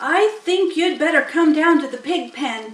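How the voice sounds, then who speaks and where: An extremely high-pitched put-on character voice from a woman, at a moderate pace. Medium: read story. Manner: quiet, whispering.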